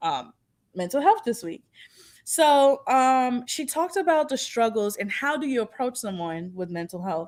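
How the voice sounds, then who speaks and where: A woman with a New York accent, high-pitched and with very wide pitch swings, at a moderate pace on a very clean recording with a silent background. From Long Island, New York. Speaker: podcast co-host. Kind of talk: casual chat. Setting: live stream.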